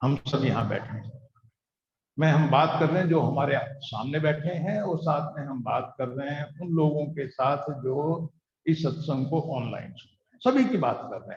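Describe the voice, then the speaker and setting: A man's fairly high, somewhat breathy voice at a moderate pace, with ordinary pitch variation and big swings in loudness. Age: 60s. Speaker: satsang preacher. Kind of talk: sermon. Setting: gathering with live audience, also streamed online.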